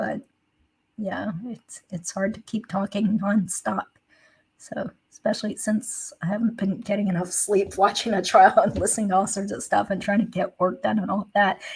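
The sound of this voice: In a put-on character voice, the speaker sounds raspy and croaky, keeping a moderate pace and fairly even intonation amid big swings in loudness. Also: woman, medium pitch for a woman.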